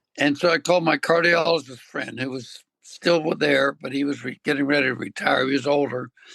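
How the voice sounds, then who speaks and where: A man's bright, sharp tone with vocal fry, fairly high pitch, and moderate pace. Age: 80s+. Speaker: veterinarian. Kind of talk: interview answer.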